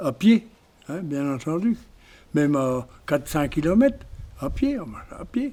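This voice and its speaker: A man is talking. His tone is dark and mellow. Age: 80s+. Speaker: village elder. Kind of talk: testimony. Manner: halting.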